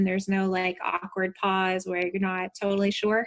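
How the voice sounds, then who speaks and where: With a Southern US accent, a woman talks at a moderate pace and a medium pitch. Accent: Southern American. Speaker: business strategist and coach. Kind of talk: podcast interview answer.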